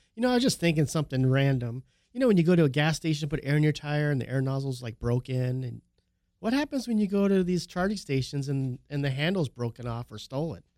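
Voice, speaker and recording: A fairly high-pitched man talks at a very fast pace with lively intonation. The recording is very clean with a silent background, dry and close with no echo. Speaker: car auction and Porsche specialist, recurring co-host. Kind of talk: casual chat. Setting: studio.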